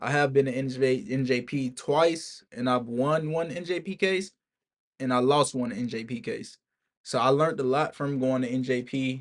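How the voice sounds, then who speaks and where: An ordinary speaking voice: a man at a medium pitch and moderate pace, with ordinary pitch variation. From Alabama, US South. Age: 20s. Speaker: military service member and vlogger. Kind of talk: casual vlog monologue. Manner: casual, informal with filler words.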